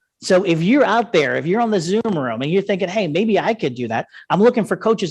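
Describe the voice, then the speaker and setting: Against a quiet background, a man with an American accent speaks at a fairly quick pace with lively intonation. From United States. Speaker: investment educator and coach. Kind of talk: seminar presentation. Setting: live event streamed on Zoom. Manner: fast, passionate.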